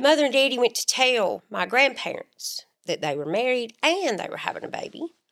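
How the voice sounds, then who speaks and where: With an Alabama accent, this speaker keeps a moderate pace and hardly pauses, making very wide pitch swings and big swings in loudness. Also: woman, high pitch for a woman. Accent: US Southern (Alabama). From northern Alabama (Muscle Shoals). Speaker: podcast co-host. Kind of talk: casual chat.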